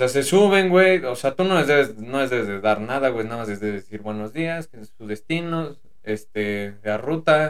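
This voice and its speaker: A man speaks with a Mexican accent. His intonation is lively. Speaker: podcast co-host, former private driver. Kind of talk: casual chat.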